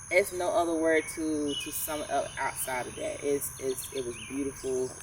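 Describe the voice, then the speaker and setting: A woman speaks with a Georgia accent over noticeable background noise. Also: moderate pace. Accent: southern US (Georgia). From North Georgia. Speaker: podcast co-host. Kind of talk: casual chat. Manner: articulate.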